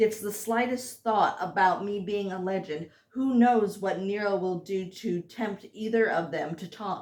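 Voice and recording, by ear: The clip features someone reading aloud in a natural voice.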